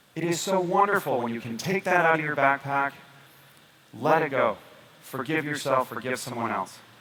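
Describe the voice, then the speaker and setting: The speaker talks at a moderate pace with ordinary pitch variation, broken by long, frequent pauses. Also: man, fairly high pitch for a man. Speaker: doctor giving a health presentation. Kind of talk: presentation to an audience. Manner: animated, motivational; lowered voice for drama.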